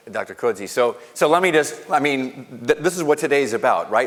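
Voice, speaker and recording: A man speaks with lively intonation and a fairly high pitch. Noticeable background noise is present. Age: middle-aged. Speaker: college president. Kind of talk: conversational response at a forum. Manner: formal.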